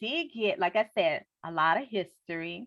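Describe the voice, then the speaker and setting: A woman with a New Orleans accent speaks in an animated tone. The sound is dry and close with no echo, over a quiet background. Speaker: book club host. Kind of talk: casual interview chat.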